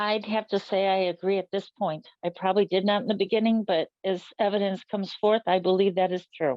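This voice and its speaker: With an unremarkable speaking voice, the delivery runs fairly quickly with hardly any pauses and fairly even intonation. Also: woman, medium pitch for a woman. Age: 60s. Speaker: local resident. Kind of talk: interview.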